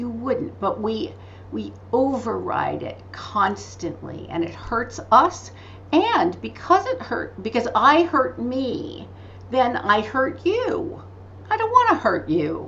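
A woman's very slow speech against noticeable background noise. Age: 60s. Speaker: spiritual teacher and author. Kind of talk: interview. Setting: video call. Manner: animated.

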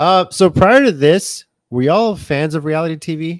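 This man has a plain, everyday voice with a fairly high pitch. His intonation is lively, on a very clean recording with a silent background. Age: 40s. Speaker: podcast host. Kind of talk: interview.

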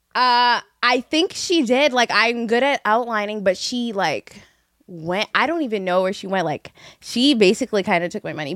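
An unremarkable speaking voice moves at a moderate pace, with a dry, close sound and no echo. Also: woman. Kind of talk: casual chat.

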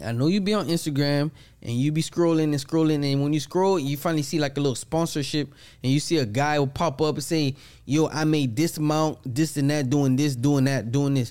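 A man talks at a fairly quick pace with fairly high pitch and fairly even intonation. He has an ordinary speaking voice. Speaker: podcast co-host. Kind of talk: casual chat.

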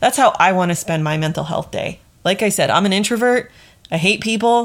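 A woman talks in a plain, everyday voice. Her pace is fairly quick, with ordinary pitch variation. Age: 30s. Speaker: podcast host, leadership coach. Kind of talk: solo podcast monologue. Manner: casual, conversational.

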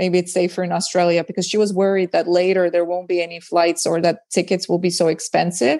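Racing along at a very fast pace with hardly any pauses, a woman with an Estonian accent speaks at a fairly low pitch in a monotone, flat way. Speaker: stand-up comedian. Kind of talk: casual chat.

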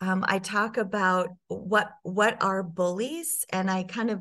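The speaker has a plain, everyday voice with ordinary pitch variation. The background is quiet. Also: woman. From US Midwest, Sioux Falls, South Dakota. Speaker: personal brand strategist. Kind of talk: interview.

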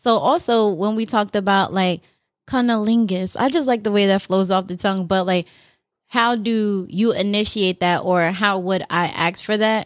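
The recording is very clean, with a silent background. A woman talks at a moderate pace, with ordinary pitch variation. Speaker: podcast host. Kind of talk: casual chat about sex and relationships.

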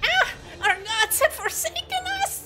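This put-on character voice is shrill and extremely high, moving at a fairly slow pace. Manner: screeching, anguished.

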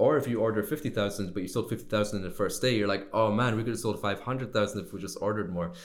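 Talking at a very fast pace with hardly any pauses, a man keeps a fairly low pitch and fairly even intonation amid audible room echo. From Scotland. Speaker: sourcing and manufacturing consultant. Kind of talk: interview. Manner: casual, conversational.

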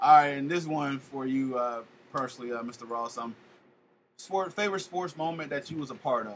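A man has a plain, everyday voice at a fairly high pitch, moving at a fairly quick pace. His pitch variation is ordinary, with big swings in loudness. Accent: American. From Florida, Polk County. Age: 30s. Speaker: podcast host. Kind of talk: casual chat.

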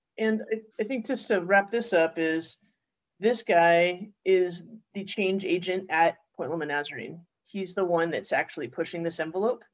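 Here a woman speaks in an ordinary speaking voice at a moderate pace. Her medium pitch moves in an ordinary way. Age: 40s. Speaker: podcast host. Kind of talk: casual chat.

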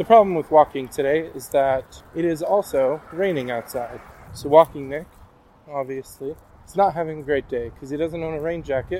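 An unremarkable speaking voice from a man, fairly high in pitch, at a moderate pace with ordinary pitch variation and big swings in loudness. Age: 20s. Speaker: podcast host. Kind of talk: casual monologue. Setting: outdoors, walking.

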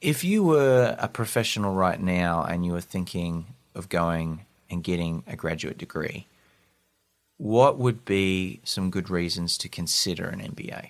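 A man with a very deep, low voice speaks at a fairly slow pace with an Australian accent. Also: ordinary pitch variation, very clean recording, silent background. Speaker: podcast host. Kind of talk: interview.

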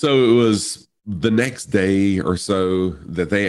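This man has a fairly low pitch. He talks in an American accent. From US South. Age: 50s. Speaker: streamer. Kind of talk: casual chat.

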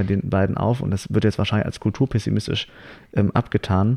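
A dark, mellow tone with vocal fry and ordinary pitch variation, delivered at a very fast pace. The background is quiet. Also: man. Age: 20s. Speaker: actor and writer. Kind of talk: casual chat. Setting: on a couch in a living room.

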